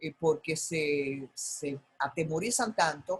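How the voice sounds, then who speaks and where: A woman speaks in a somewhat breathy voice. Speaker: broadcaster, master of ceremonies. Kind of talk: masterclass talk on public speaking.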